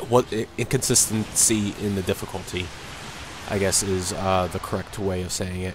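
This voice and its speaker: With noticeable background noise, a man speaks at a moderate pace in a very deep, low pitch and a monotone, flat intonation. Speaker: video game commentator. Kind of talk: casual game review commentary. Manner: monotone, a little dull.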